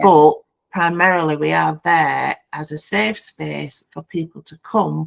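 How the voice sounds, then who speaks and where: Here a woman speaks in a Yorkshire accent. Her pace is fairly slow. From Yorkshire, England. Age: 50s. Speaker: founding director of a bereavement peer support group. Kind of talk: podcast interview answer.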